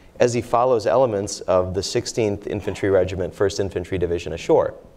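Here a man speaks in a fairly low pitch with a dark, mellow tone. His pace is moderate and his pitch variation ordinary. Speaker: professor and author. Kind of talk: panel discussion. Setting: stage with audience.

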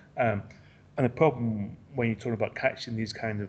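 Somewhat breathy, a man with an English accent speaks at a fairly quick pace. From England. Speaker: football writer. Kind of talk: interview. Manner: halting.

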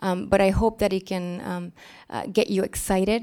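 Heard in a very clean recording with a silent background, a plain, everyday voice moves at a moderate pace with ordinary pitch variation. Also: woman. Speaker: global health policy advisor. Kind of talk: presentation with audience discussion. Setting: stage with audience.

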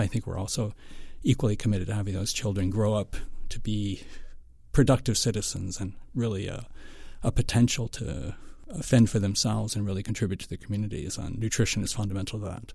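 An American man speaks at a fairly quick pace and a fairly low pitch, with fairly even intonation. His tone is dark and mellow, and somewhat breathy. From western Pennsylvania, US. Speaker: foundation nutrition director. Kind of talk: interview.

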